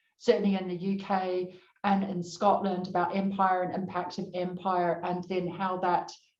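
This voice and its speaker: A woman with a New Zealand accent, monotone and flat, at a moderate pace with hardly any pauses, and audible room echo. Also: medium pitch for a woman. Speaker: panel moderator. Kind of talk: panel discussion.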